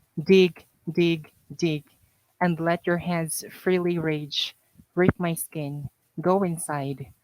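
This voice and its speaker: In a Mindanao accent, a woman speaks very slowly with fairly low pitch and flat, monotone intonation, the sound dry and close with no echo. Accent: Filipino (Mindanao) English. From Mindanao, Philippines. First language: Kamayo. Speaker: poet, author. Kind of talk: poetry reading.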